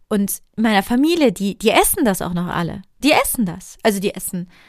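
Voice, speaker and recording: In a very clean recording with a silent background, a woman at medium pitch speaks at a moderate pace, animated in tone and lively in intonation. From Germany, Cologne area. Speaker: podcast host, sugar-free coach. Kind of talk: casual monologue. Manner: halting.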